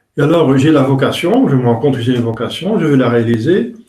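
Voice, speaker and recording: A man's voice with a dark, mellow tone. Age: 60s. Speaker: priest. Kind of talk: religious talk. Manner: halting.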